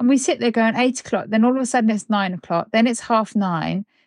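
A woman with a British accent and a fairly high pitch speaks at a fairly quick pace, with a dry, close sound and no echo. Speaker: podcast host. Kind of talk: casual chat. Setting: room in Bulgaria.

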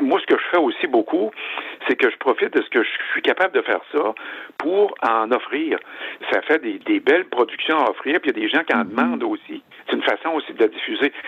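A man talks fairly quickly as noticeable noise carries on behind him. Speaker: wood sculptor. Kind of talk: interview. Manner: halting.

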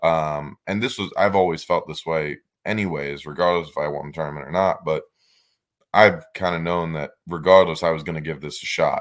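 The speaker has an American accent and fairly even intonation, talking at a moderate pace in a very clean recording with a silent background. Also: man. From northern US. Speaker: professional bass angler. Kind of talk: casual chat.

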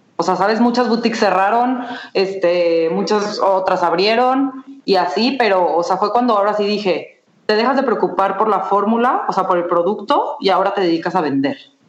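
A woman speaks at a medium pitch and a moderate pace, with ordinary pitch variation and very even loudness. Noticeable background noise and audible room echo are present. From Mexico, Guadalajara. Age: 20s. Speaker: entrepreneur. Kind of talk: interview.

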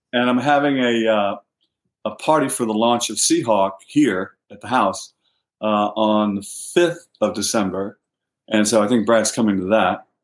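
Here is an unremarkable speaking voice in an American accent. It keeps a moderate pace and ordinary pitch variation. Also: man, fairly low pitch for a man, big swings in loudness. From US South. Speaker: novelist. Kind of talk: interview.

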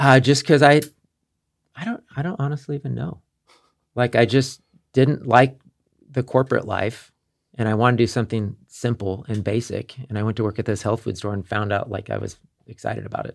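With a Midwestern American accent, a man talks at a fairly quick pace in a medium pitch with vocal fry, ordinary pitch variation, and long, frequent pauses. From Kansas City. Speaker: wellness business owner. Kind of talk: casual chat.

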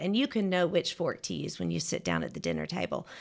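Recorded very cleanly against a silent background, a woman speaks with a Southern US accent. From Georgia, US South. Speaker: etiquette teacher. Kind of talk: casual interview.

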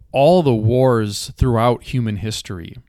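An ordinary speaking voice moves at a fairly slow pace with ordinary pitch variation. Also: man. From rural Minnesota, US. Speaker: podcast host, author and poet. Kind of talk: solo podcast monologue.

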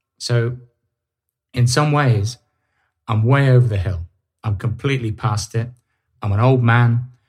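A somewhat breathy voice moves at a fairly slow pace with fairly even intonation and long, frequent pauses. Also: man, medium pitch for a man. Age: 50s. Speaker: podcast host and author. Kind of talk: solo monologue podcast. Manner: some hesitations and stammering.

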